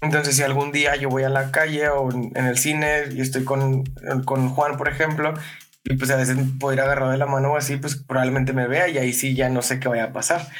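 Monotone, flat delivery at a fairly quick pace, with audible room echo, noticeable background noise and very even loudness. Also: man, fairly high pitch for a man. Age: 20s. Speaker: podcast guest. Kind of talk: casual chat.

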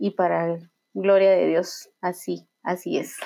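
A woman's voice, dark and mellow in tone. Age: 30s. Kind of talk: faith testimony conversation. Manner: halting, many repetitions and fillers.

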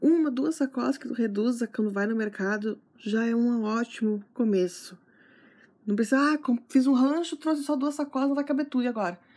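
A woman's high-pitched voice, dark and mellow in tone, with ordinary pitch variation and a moderate pace, on a very clean recording with a silent background. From Santana do Livramento, Rio Grande do Sul, Brazil. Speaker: gardening podcaster and blogger. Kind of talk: casual solo podcast talk.

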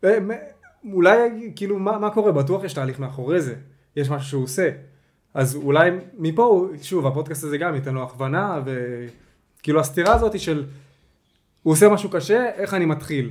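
A man with a fairly high voice speaks at a fairly quick pace with lively intonation, broken by long, frequent pauses. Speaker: podcast host. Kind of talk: casual chat.

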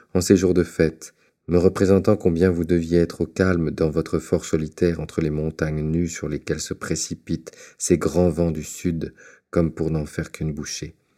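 A man's very deep, low voice, warm in tone yet dark and mellow, on a very clean recording with a silent background. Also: ordinary pitch variation, moderate pace. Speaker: audiobook reader. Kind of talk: audiobook reading of a letter. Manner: warm, contemplative, literary delivery.

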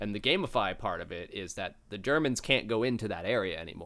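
A man with a bright, sharp tone, ordinary pitch variation and a moderate pace, on a very clean recording with a silent background. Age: 20s. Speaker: game community manager and security worker. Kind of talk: casual chat.

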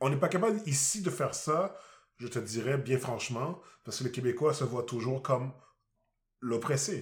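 A man speaks at a moderate pace in a somewhat breathy voice, leaving long, frequent pauses. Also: medium pitch for a man. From Quebec. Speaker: podcast co-host. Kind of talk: casual chat.

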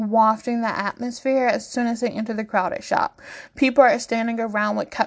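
The intonation stays fairly even. A natural voice reads the text aloud.

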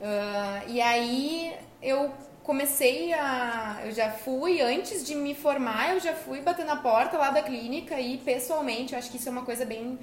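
Amid noticeable background noise and audible room echo, a woman talks at high pitch and a fairly slow pace with ordinary pitch variation. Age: 20s. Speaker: dentist. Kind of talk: casual chat.

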